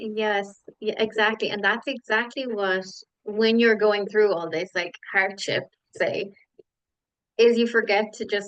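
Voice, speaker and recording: A fairly high-pitched woman's voice in an Irish accent, fairly even in intonation, fairly slow, with long, frequent pauses. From Ireland. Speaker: podcast guest, yoga teacher and social media manager. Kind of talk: casual interview chat.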